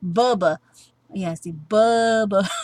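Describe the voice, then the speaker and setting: A woman puts on a character voice, drawling her words. Her pitch sits in the medium range. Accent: Southern US. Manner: drawled.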